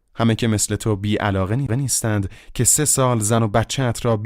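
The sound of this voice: What you hear is an unforced reading voice.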